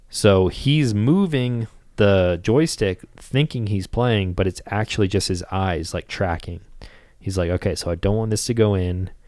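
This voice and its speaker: In a very clean recording with a silent background, a man with an ordinary speaking voice talks at a fairly slow pace, his fairly low pitch showing ordinary variation. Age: 20s. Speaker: podcast host. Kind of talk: casual chat.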